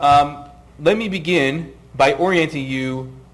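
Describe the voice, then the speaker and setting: A man keeps his intonation fairly even as audible room echo fills the recording. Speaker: tax lawyer. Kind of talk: lecture.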